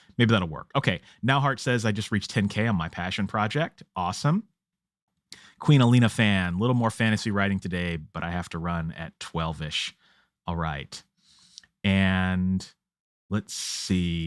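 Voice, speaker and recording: A man's normal speaking voice, fairly low in pitch, with ordinary pitch variation and a moderate pace, in a dry, close sound with no echo and a very clean recording against a silent background. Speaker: author and writing livestream host. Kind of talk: livestream chat reading comments. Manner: casual, with filler words.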